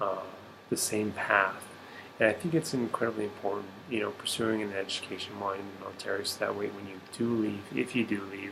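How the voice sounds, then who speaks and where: A quiet man with an American accent, a fairly low pitch and ordinary pitch variation, with noticeable background noise. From Arizona. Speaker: military service member and student. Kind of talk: personal video reflection. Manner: hesitant, many fillers.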